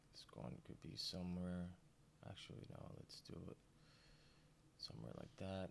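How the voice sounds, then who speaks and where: With lively intonation, a man in a very deep, low voice speaks at a moderate pace, taking long, frequent pauses. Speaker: art teacher. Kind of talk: tutorial. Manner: casual.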